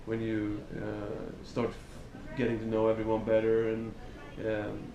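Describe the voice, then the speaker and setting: A man with a Swedish accent speaks at medium pitch. Audible room echo and noticeable background noise come through. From Sweden. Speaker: metal band singer. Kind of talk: interview. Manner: halting.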